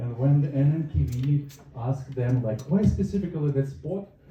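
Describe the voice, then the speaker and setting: A man with a fairly high, somewhat breathy voice and a dark, mellow tone speaks at a moderate pace with ordinary pitch variation. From northern Russia. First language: Russian. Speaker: stand-up comedian. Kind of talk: stand-up.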